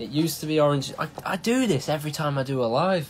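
Lively intonation over faint music in the background. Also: man. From England. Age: 20s. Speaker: thrash metal band member. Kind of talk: casual livestream chat. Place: home room.

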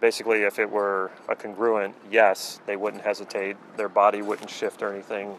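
A man speaks at a moderate pace with a fairly low pitch. The sound is dry with no echo, over light background noise. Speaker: coach. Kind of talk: explanatory talk to camera. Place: waterside.

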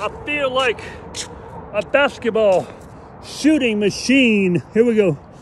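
A man speaks with an extremely high pitch and ordinary pitch variation. He goes very slowly, with long, frequent pauses. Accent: American. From US West Coast, San Francisco. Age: 60s. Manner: animated.

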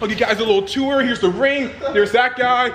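A man talks fast at an extremely high pitch with a fairly bright tone. Faint background noise can be heard.

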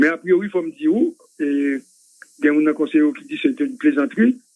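A man's high-pitched voice swings very widely in pitch as he talks at a fairly quick pace. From Haiti. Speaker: political commentator. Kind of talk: political commentary. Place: studio.

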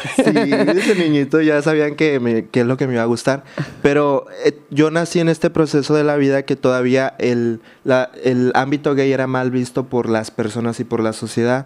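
The speaker is a man with a medium-pitched voice. His pitch varies in an ordinary way. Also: moderate pace. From Mexico, Baja California Sur (San José del Cabo); Baja California Sur, Mexico. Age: 20s. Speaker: social media creator. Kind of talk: interview testimony. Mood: reflective, recounting hard childhood. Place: studio. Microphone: studio mic.

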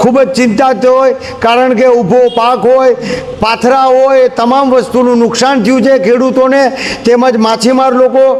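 A man's extremely high-pitched voice, monotone and flat, over noticeable background noise. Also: very even loudness. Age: 50s. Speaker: local news reporter. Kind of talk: on-location news report.

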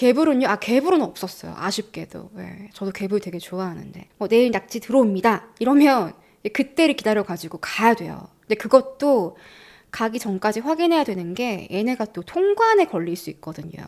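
A woman talks at a moderate pace in an animated tone. Her intonation is lively, and her loudness swings widely. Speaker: YouTuber living abroad. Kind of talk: casual chat. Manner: animated, laughs often.

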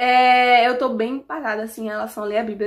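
At a moderate pace, a woman speaks in a high-pitched voice over a quiet background. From Alagoas, Brazil. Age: 20s. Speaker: YouTuber. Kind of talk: casual Q&A vlog. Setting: at home. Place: home room. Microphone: phone near.

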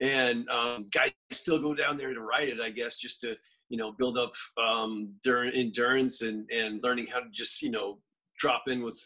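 Over a quiet background, a man with a bright, sharp tone talks at a moderate pace with fairly even intonation. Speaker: podcast guest. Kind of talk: interview answer. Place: home room. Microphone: video call.

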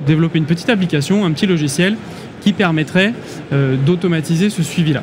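Noticeable background noise beneath a man's speech, its pitch moving in an ordinary way. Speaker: guest. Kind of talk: interview answer. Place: hall. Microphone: studio mic.

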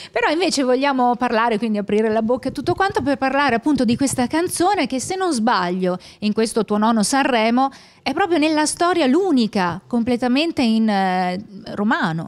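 A woman's high-pitched voice at a fairly quick pace, with very wide pitch swings and very even loudness. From Veneto, Italy. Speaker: radio host. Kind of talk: interview. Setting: radio booth at a music festival. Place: studio. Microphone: handheld.

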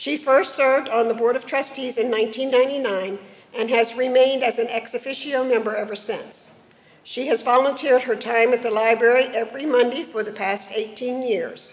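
A woman talks at a moderate pace with a high pitch. Her intonation stays fairly even. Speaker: presenter. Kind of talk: formal reading of award citations. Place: hall. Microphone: podium.

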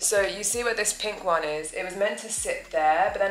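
A woman at a moderate pace, with audible room echo and faint background music. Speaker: home vlogger. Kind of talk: casual vlog chat. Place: home room. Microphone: camera far.

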